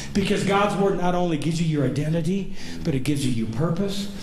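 A man is speaking. Light background noise and audible room echo surround him. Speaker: pastor. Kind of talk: sermon. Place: church. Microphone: camera far.

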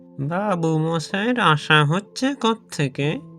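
A man's put-on character voice, high in pitch with lively intonation, over faint music in the background. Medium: read story. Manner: deferential, knowing, rustic speech.

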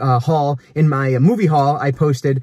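The man's somewhat breathy voice comes through dry, with no echo, against a quiet background. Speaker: media collector vlogger. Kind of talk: casual vlog chat. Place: car.

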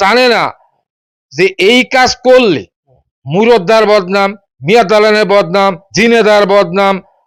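In a dry, close recording with no echo, a man speaks at a high pitch. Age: 60s. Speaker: owner of a historic mansion. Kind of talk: interview.

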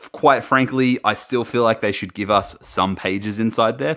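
Against a quiet background, a man with a fairly low pitch talks at a moderate pace with ordinary pitch variation. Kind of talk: casual unboxing commentary. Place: home room.

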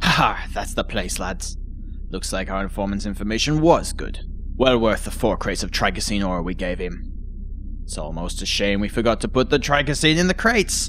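Against clear background noise, a put-on character voice cackles at a moderate pace. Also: man. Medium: audio drama. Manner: gloating, boastful, cackling.

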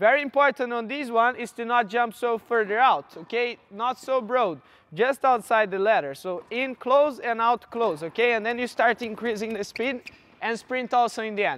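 Recorded dry with no echo, a man speaks at an extremely high pitch with ordinary pitch variation. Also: moderate pace. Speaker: fitness coach. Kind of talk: coaching instruction. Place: hall.

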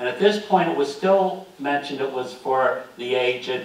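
A man with an American accent speaks at a moderate pace in a fairly high pitch, with ordinary pitch variation and audible room echo. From US Northeast. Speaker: local history presenter. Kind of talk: slideshow lecture to audience. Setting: meeting room with live audience. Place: hall.

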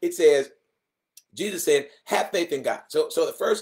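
A man speaks against a quiet background. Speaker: guest preacher. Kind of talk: sermon. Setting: church broadcast. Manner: animated, fervent, emphatic repetition; excitable. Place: home room. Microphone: webcam.

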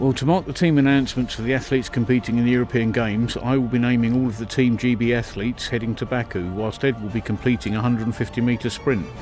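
Over noticeable background noise, a man at medium pitch for a man talks very fast with hardly any pauses and fairly even intonation. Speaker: record-holding fast talker. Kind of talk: promotional presenter talk.

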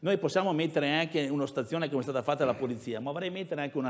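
Background sound stays quiet around this man. His pitch shifts with ordinary variation. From Veneto, near Padua; Veneto, Italy. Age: 60s. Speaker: mayoral candidate, former university rector; candidate. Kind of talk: political debate. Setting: stage with audience. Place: hall. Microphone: lapel.

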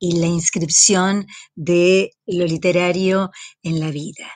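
Against a quiet background, a woman speaks at a very slow pace, the sound dry with no echo. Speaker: university teacher. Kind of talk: lecture. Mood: warm, smiling. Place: home room. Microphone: webcam.

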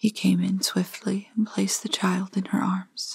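A soft-spoken voice with a gentle tone comes through against a quiet background. The sound is dry, with no echo. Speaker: storyteller reading aloud. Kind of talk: story reading. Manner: soft, gentle bedtime reading voice.

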